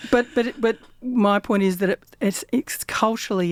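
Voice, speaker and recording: This woman has an Australian accent and speaks at a moderate pace with lively intonation. The recording is very clean, with a silent background. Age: 60s. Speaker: community radio host. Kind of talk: casual chat. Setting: radio studio. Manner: halting.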